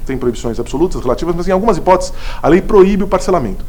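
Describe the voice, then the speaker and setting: Amid noticeable background noise and audible room echo, a man with a high voice speaks at a very fast pace, his pitch swinging very widely. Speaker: law lecturer, city attorney. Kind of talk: lecture. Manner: stumbles over words.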